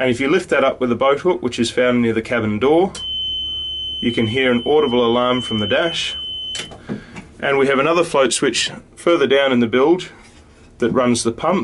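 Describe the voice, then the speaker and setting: Noticeable background noise runs behind a man who speaks at a moderate pace with ordinary pitch variation and long, frequent pauses. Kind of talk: tutorial. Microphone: phone near.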